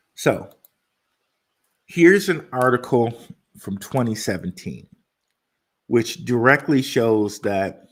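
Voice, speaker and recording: With lively intonation and a medium pitch, a man speaks at a very slow pace, leaving long, frequent pauses. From Detroit, US Midwest. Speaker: crypto YouTuber. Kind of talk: livestream commentary. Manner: casual, repetitive filler.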